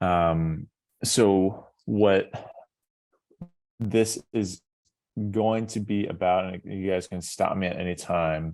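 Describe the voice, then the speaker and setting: With an American accent, a man talks at a very slow pace in a very deep, low pitch, leaving long, frequent pauses. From US West Coast, San Diego. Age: 30s. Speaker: professional baseball pitcher. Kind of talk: talk to students. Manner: casual, hesitant with many fillers.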